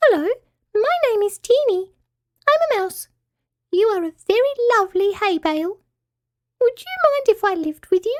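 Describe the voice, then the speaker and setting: A woman uses a put-on character voice, squeaky and extremely high in pitch. She goes at a moderate pace with long, frequent pauses. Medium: read story.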